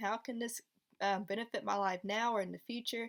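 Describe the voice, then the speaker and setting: A woman with a normal speaking voice and a fairly high pitch talks at a fairly quick pace in a very clean recording with a silent background. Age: 20s. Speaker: special education teacher. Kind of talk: casual vlog Q&A. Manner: casual, filler-heavy.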